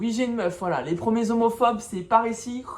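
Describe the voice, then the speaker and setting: Ordinary pitch variation and a moderate pace mark this woman's speech. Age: 20s. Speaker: vlogger. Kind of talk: casual vlog monologue.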